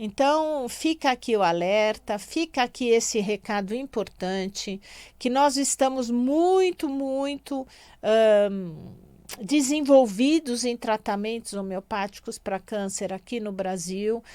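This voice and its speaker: Very slowly, a woman speaks with lively intonation at a fairly high pitch in a dark, mellow tone, the recording very clean with a silent background. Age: 60s. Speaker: radio host and physician. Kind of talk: radio talk. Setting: radio studio.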